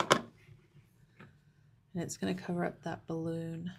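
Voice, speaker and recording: A woman speaks with an American accent at a fairly low pitch. Vocal fry runs through her voice. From Texas. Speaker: papercraft instructor. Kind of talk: live craft tutorial. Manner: casual, chatty.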